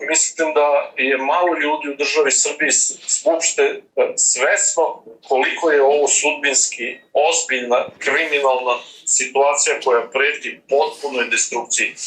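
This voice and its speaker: A man speaks fairly slowly at a very even loudness amid noticeable background noise. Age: 70s. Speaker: retired diplomat, movement founder. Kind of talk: political interview. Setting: video call.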